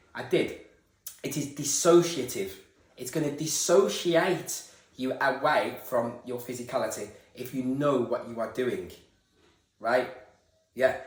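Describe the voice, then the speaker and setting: Audible room echo follows a man with a fairly high pitch and ordinary pitch variation who leaves long, frequent pauses. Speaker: esoteric video creator. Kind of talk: spiritual monologue. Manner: stuttering, halting.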